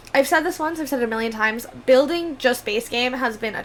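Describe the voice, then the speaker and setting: A woman speaks at a high pitch in an upbeat tone, with ordinary pitch variation. There is noticeable background noise. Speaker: gaming YouTuber. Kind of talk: casual chat over gameplay. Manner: fast; chatty, upbeat.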